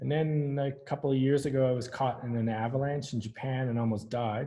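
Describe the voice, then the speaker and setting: A man speaks at a moderate pace and a medium pitch. His voice is somewhat breathy, with fairly even intonation. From Newfoundland, Canada. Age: 50s. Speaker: architect. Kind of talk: interview talk. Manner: halting.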